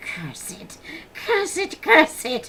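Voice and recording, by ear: A woman puts on a character voice at an extremely high pitch, with hissing in the sound.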